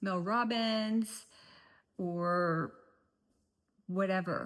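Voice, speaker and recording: A woman's ordinary speaking voice, medium in pitch, with fairly even intonation. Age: 50s. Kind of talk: casual talk to camera.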